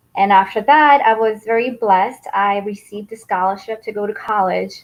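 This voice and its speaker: A woman with a Mandarin accent, fairly high pitch, fairly even intonation and a moderate pace. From Taiwan, then New York from age 13. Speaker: skincare business founder. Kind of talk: interview. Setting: live video stream.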